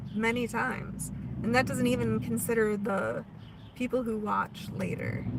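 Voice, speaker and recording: A woman with an American accent speaks at a fairly slow pace amid noticeable background noise. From US Pacific Northwest, Oregon. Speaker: spiritual livestream host. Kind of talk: spiritual live stream chat. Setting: live stream. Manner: casual, conversational.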